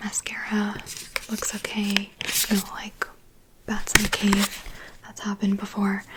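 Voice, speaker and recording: A woman with an American accent whispers in a relaxed tone at a fairly slow pace, with long, frequent pauses. Her loudness swings widely, and noticeable background noise is present. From USA. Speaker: ASMR artist. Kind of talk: ASMR haul talk to camera. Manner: soft-spoken, rambling, relaxed.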